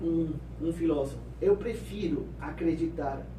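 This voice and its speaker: Audible echo from the room and noticeable background noise around a male speaker. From Peru. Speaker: pastor and missionary. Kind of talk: interview testimony.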